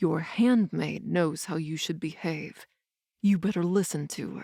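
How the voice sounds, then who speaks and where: In a put-on character voice, a woman speaks at a fairly low pitch and a fairly slow pace. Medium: read story. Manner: smug, mocking.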